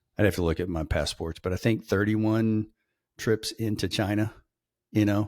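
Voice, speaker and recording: On a very clean recording with a silent background, a man with an Arkansas accent talks at a moderate pace, fairly low in pitch with fairly even intonation. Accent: US South (Arkansas). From Northwest Arkansas. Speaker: logistics podcast co-host. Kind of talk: casual chat.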